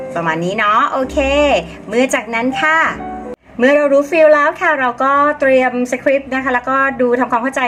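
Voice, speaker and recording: A woman talks with lively intonation. Background noise is noticeable. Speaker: DJ and voice-over artist. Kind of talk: casual talk to camera.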